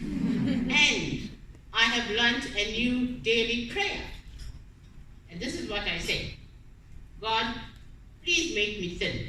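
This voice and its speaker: Amid audible room echo and noticeable background noise, a woman with a fairly high pitch speaks at a very slow pace, her voice making very wide pitch swings. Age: 70s. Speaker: cancer survivor. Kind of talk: testimony.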